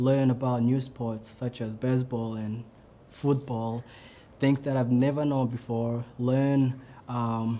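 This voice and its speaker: A man speaks at a very slow pace with a Burundian accent. His medium-pitched voice has a dark, mellow tone and monotone, flat intonation. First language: not English (English is third language). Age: 20s. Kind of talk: personal story talk. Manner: improvised, hesitant.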